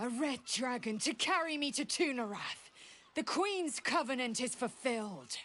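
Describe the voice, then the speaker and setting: The speaker uses a put-on character voice with lively intonation. The pace is moderate. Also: woman, high pitch for a woman. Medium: video game. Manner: formal, intense.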